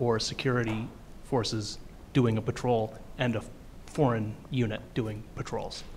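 A man's somewhat breathy voice at a medium pitch. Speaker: audience member. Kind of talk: audience question.

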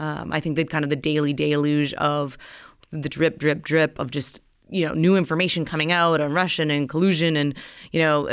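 A woman's very deep, low voice, monotone and flat in intonation, at a moderate pace on a very clean recording with a silent background. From North Dakota. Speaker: political journalist. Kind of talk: interview conversation.

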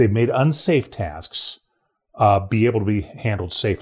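A man speaks with an American accent, his voice fairly low-pitched and somewhat breathy, with ordinary pitch variation. The recording is very clean, with a silent background. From Ohio, rural. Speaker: trade policy analyst. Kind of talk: casual chat. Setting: recording from home.

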